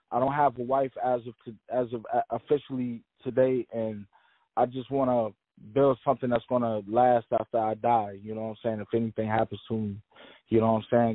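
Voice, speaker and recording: A man with an American accent speaks at a fairly quick pace. His medium-pitched voice stays monotone and flat. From Maryland, near Washington DC. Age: 40s. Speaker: rapper. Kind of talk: interview. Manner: halting, many repeated words.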